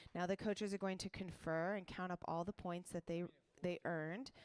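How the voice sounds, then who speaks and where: With fairly even intonation and a medium pitch, this woman has an ordinary speaking voice. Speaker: tournament announcer. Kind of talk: live commentary.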